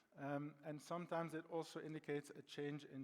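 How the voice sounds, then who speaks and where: A man with a Belgian accent. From Belgium. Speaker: data science consultant. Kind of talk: conference presentation. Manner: halting, many fillers.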